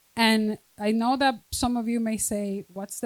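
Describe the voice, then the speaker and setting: The sound is dry and close with no echo as a woman speaks in a strong Spanish accent. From Dominican Republic. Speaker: school district administrator. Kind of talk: reading aloud. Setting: stage with audience.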